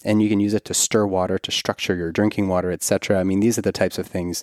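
A man's fairly low, monotone, flat voice, dry and close with no echo, on a very clean recording with a silent background. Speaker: podcast host and OB-GYN. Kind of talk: podcast intro and sponsor reads; casual interview. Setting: in person recording. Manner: long-winded.

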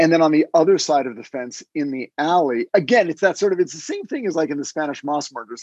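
Against a quiet background, a man speaks in an unremarkable speaking voice. His pitch is fairly high, with lively intonation. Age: 50s. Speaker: screenwriter and podcast co-host. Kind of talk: casual chat.

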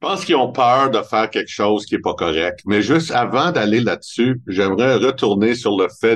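A man speaks in a Montreal accent. The background is quiet. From Montreal, Quebec. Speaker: family wealth advisor. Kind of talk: interview.

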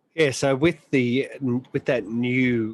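A man in an Australian accent at a very slow pace, with a dry, close sound and no echo. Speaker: motorsport podcast host. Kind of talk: casual chat.

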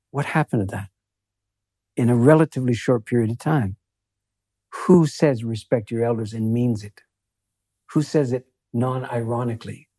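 Long, frequent pauses in a dark, mellow tone, on a very clean recording with a silent background. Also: man, medium pitch for a man, ordinary pitch variation, moderate pace, dry, close sound with no echo. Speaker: author and palliative care worker. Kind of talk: interview conversation. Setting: in-person studio.

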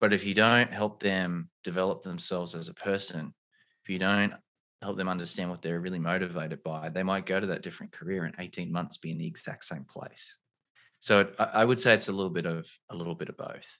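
A man with an Australian accent, very deep, low pitch, bright, sharp tone, fairly even intonation and a fairly quick pace over a quiet background. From rural Australia. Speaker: career coach and pre-law platform founder. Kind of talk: interview conversation.

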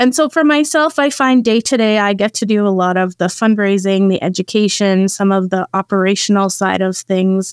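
A woman with an ordinary speaking voice and a Canadian accent keeps a moderate pace, medium pitch, ordinary pitch variation and very even loudness, with hardly any pauses. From Saskatchewan, Canada. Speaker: executive director of an anti-trafficking charity. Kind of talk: podcast interview.

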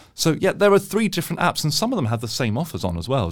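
A man speaks with a British accent in a very clean recording with a silent background. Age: 20s. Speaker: money-saving deals expert. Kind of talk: casual interview.

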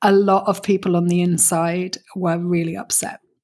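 A woman with a British accent speaks at a fairly slow pace and a medium pitch. The recording is very clean, with a silent background. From Britain. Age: 40s. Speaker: business coach. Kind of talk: interview.

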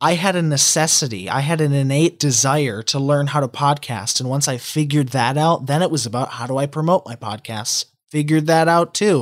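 This man has an unremarkable speaking voice and a fairly high pitch. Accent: American. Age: 20s. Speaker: podcast host. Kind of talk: casual chat.

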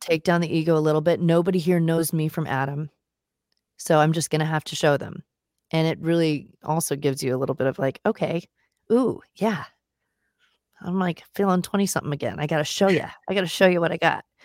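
A woman has an unremarkable speaking voice at a fairly low pitch, in a General American accent. She talks at a fairly quick pace with fairly even intonation. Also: very clean recording, silent background. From US West Coast, San Diego. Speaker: singer-songwriter. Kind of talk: interview.

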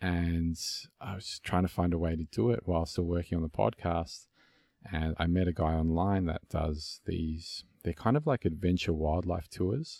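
A man with a very deep, low pitch and a dark, mellow tone speaks in an Australian accent. His moderate pace and ordinary pitch variation come through on a very clean recording with a silent background. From Melbourne, Australia. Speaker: podcast host. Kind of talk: casual interview conversation.

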